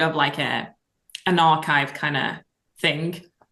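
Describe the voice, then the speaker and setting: Over a quiet background, a woman with a French accent speaks at a fairly slow pace in a fairly low pitch with a bright, sharp tone. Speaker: singer-songwriter. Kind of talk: casual chat.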